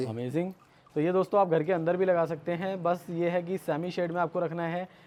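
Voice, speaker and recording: The speaker is a man. His pitch is high. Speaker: gardening YouTuber, host. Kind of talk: casual talk to camera, garden tour.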